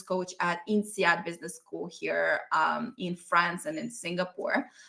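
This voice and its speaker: A woman with a Russian accent speaks in a bright, sharp tone. Her pace is fairly slow, with ordinary pitch variation. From Russia (Ural Mountains, USSR). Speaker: business coach. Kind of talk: online masterclass.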